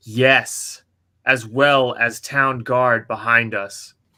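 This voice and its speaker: A man's put-on character voice, monotone and flat, at a very slow pace in a very clean recording with a silent background. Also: medium pitch for a man. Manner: stern.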